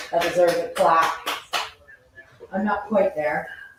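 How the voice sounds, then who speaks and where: A woman talks at a moderate pace, and audible room echo trails her words. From southern England. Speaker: cooking show host. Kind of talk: live cooking stream chat.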